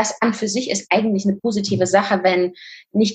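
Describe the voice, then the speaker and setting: A somewhat breathy woman's voice at medium pitch, with fairly even intonation. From Kazakhstan. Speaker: fitness and nutrition coach. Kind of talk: interview.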